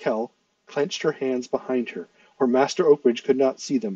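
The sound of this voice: Quiet surroundings behind an unforced reading voice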